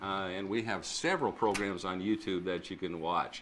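A man at a moderate pace, his tone bright and sharp. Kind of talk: faith interview show. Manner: animated. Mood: warm, preacherly. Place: studio. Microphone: lapel.

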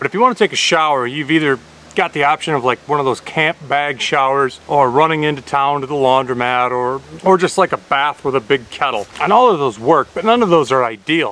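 The recording is dry with no echo as a man speaks at a fairly quick pace with ordinary pitch variation. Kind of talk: casual vlog chat. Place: forest. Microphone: phone near.

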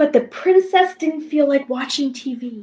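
A woman speaks at a fairly slow pace in a high pitch. Her tone is dark and mellow. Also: ordinary pitch variation.

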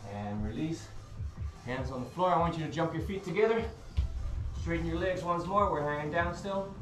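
The speech comes at a fairly quick pace, with audible room echo and clear music in the background. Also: man. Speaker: fitness instructor. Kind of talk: workout instruction. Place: gym. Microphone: camera far.

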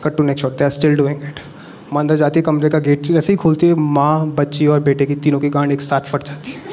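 A man speaks fairly quickly in a monotone, flat intonation. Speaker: stand-up comedian. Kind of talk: stand-up comedy routine. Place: stage. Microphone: handheld.

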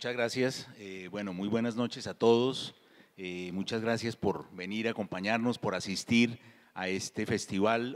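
A man talks at a fairly slow pace in a plain, everyday voice, with fairly even intonation. The background is quiet. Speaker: moderator. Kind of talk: event introduction before an on-stage interview. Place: stage. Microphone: handheld.

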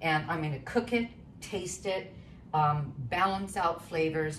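A woman with a very deep, low pitch and ordinary pitch variation at a moderate pace, with light background noise. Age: 70s. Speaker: cooking demonstrator and author; cooking demonstrator. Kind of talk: cooking tutorial. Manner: animated. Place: kitchen. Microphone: camera far.

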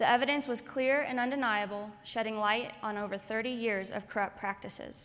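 At a moderate pace and with hardly any pauses, a woman speaks in a plain, everyday voice, fairly high in pitch, with fairly even intonation. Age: 20s. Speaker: activist journalist. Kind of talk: conference speech. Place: hall. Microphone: podium.

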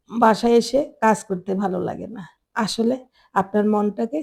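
A woman speaks at a medium pitch and sounds somewhat breathy. Her pitch varies in an ordinary way. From Bangladesh, Chittagong. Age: old. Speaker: lifestyle vlogger, housewife. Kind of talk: home tour vlog narration.

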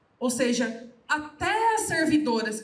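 A woman speaks with audible room echo. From Brazil, Guarulhos (São Paulo); São Paulo, Brazil. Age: 20s. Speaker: politician and activist; politician. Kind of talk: panel talk at book launch. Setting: live event with audience. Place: hall. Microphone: handheld.

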